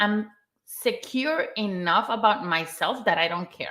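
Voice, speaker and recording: A woman with a non-native accent, lively intonation and a fairly slow pace. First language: not English. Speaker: content writer, mental health guest. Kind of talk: live stream discussion.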